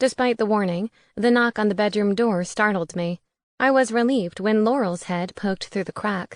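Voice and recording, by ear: The text is read aloud in a natural voice, and the pitch varies in an ordinary way. Nothing disturbs the quiet background.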